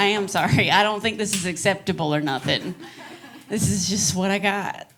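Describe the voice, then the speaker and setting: Background noise is noticeable behind a woman's voice. Room echo is audible too. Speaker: stand-up comedian. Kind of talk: stand-up. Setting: stage with audience. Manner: animated.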